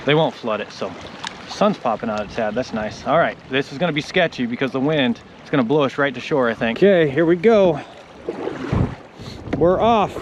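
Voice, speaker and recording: A man speaks at a fairly quick pace and a fairly high pitch, with lively intonation. Long, frequent pauses break up his speech over noticeable background noise. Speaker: solo river canoeist vlogger. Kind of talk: outdoor vlog narration. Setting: outdoors on a river in a canoe. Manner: loud, raised over wind.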